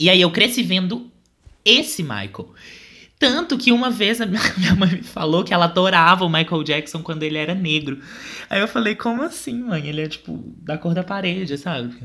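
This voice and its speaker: The speaker is a man with a high voice. His tone is bright and sharp, and his pace moderate. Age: 20s. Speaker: podcast co-host. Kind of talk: casual chat.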